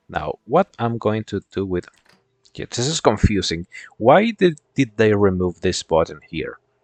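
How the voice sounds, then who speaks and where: A man speaks with a non-native accent and lively intonation. The sound is dry and close with no echo. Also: fairly slow pace. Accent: foreign accent, non-American. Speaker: gaming streamer. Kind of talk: casual gameplay commentary. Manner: halting, repeats words.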